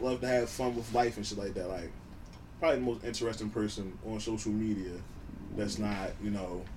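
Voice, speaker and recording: Dark and mellow in tone, a man moves at a fairly quick pace with ordinary pitch variation. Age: 20s. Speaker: podcast co-host. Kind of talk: casual chat. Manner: talkative.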